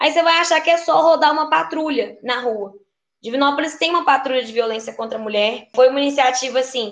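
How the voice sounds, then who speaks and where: A woman speaks at a fairly quick pace and a high pitch, with ordinary pitch variation. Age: 20s. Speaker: teacher and city council candidate. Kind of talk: casual chat.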